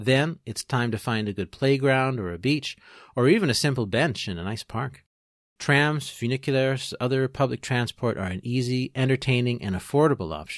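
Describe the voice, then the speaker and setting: A man with a plain, everyday voice talks at a moderate pace in a medium pitch with ordinary variation. The recording is very clean with a silent background, dry and close with no echo. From Ontario, Canada (Peterborough). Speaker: podcast host. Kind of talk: scripted narration.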